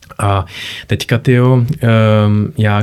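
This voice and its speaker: This man's fairly low pitch comes with a dark, mellow tone. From Czech Republic. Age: young. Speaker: radiologist. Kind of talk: casual interview. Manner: halting, many repetitions and fillers.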